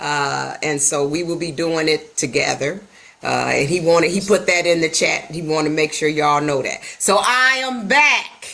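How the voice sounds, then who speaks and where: A woman's very deep, low-pitched voice with lively intonation at a moderate pace, against noticeable background noise. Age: 60s. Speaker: network marketing coach. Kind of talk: casual chat. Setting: video call.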